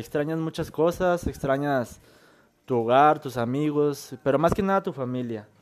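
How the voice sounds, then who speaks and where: On a very clean recording with a silent background, a man with an unremarkable speaking voice talks at a fairly high pitch and moderate pace with lively intonation. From Michoacán, Mexico. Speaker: podcast guest. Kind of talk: casual chat.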